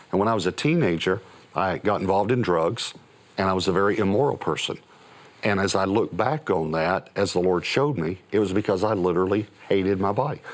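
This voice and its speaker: This man has a plain, everyday voice, fairly low in pitch, talking at a fairly quick pace with ordinary pitch variation and very even loudness. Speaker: pastor. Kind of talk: sermon.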